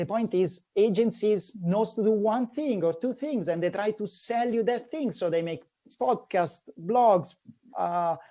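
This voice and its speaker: Against a quiet background, a man with an Italian accent speaks at a fairly slow pace, his high pitch showing ordinary variation and a dark, mellow tone. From Italy (north). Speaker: digital marketing agency founder. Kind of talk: podcast interview.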